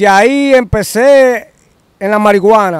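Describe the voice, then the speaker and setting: A high-pitched man's voice with a strong Dominican accent and lively intonation, dry with no echo, in a quiet background. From Dominican Republic. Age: 50s. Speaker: interviewee telling life story. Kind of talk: interview answer. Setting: outdoors, next to a bridge. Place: open country. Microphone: handheld.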